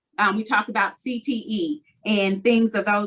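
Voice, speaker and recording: A woman talks in a normal speaking voice at medium pitch. Her pitch varies in an ordinary way. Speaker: school board member reporting on committee work. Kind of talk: meeting report.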